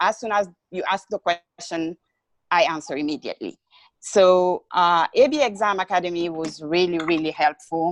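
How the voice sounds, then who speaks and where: A woman speaks with a non-native accent at a moderate pace. Her fairly low voice shows ordinary pitch variation. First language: not English. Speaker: recently certified behavior analyst, interviewee. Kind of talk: interview. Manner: halting, many fillers.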